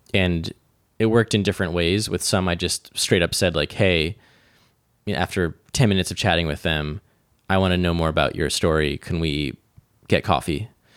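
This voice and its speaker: A man with an American accent and a very deep, low pitch talks at a fairly quick pace, broken by long, frequent pauses, in a dry, close sound with no echo. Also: ordinary pitch variation, very clean recording, silent background. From upstate New York (rural Hudson Valley). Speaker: interactive artist and film director. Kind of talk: interview conversation.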